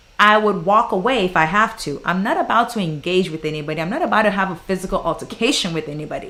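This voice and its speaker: A woman talks with a Ghanaian accent. Her pace is fairly quick. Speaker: flight attendant and YouTuber. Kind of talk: livestream Q&A. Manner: animated.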